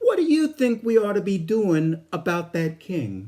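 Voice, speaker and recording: Put-on character voice at a middle pitch and moderate pace. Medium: stage play.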